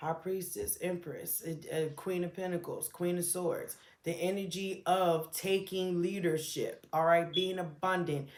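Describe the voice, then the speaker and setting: Amid audible room echo, a woman with a fairly low voice talks at a fairly slow pace with hardly any pauses, her intonation monotone and flat. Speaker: tarot reader. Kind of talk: tarot reading. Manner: soft-spoken; hesitant.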